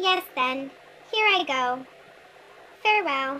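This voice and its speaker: A put-on character voice sits at a high pitch and moves at a fairly slow pace. Clear background noise runs underneath. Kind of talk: children's picture book voice. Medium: read story. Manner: polite, apologetic.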